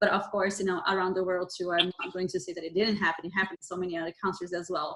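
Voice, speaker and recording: A woman speaks at a very fast pace in a Brazilian Portuguese accent. Her intonation stays monotone and flat. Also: medium pitch for a woman. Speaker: podcast co-host, psychology trainee. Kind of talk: podcast interview. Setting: video call.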